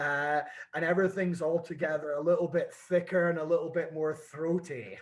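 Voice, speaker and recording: Speaking at a moderate pace with a slight Scottish accent, a man keeps a high pitch and fairly even intonation. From Scotland. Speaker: whisky brand ambassador. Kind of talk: casual chat.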